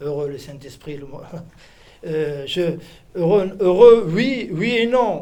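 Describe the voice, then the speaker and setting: Speaking very slowly with lively intonation, a man uses a high-pitched voice of dark, mellow tone, with audible room echo. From Algeria. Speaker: harki family witness. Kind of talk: interview testimony.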